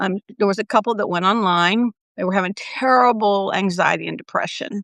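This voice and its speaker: Here a woman speaks in a plain, everyday voice at medium pitch with ordinary pitch variation. Her pace is fairly quick, and the sound is dry and close with no echo. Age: 60s. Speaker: nurse and wellness coach. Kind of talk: casual chat. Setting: livestream.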